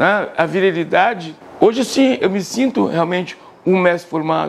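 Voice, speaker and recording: Noticeable background noise behind a moderately paced man, his pitch varying in an ordinary way. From Bahia (Salvador), born in Porto Alegre. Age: 60s. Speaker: capoeira master. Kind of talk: interview testimony. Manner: casual, conversational.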